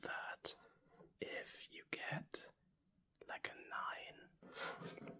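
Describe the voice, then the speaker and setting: Someone is whispering at a very slow pace. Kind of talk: ASMR card collecting talk. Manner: whispered.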